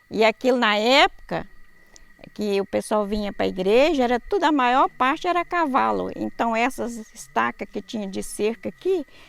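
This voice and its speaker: A fairly high female voice at a moderate pace. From Minas Gerais, Brazil (Itueta area). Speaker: church member. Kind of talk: testimony.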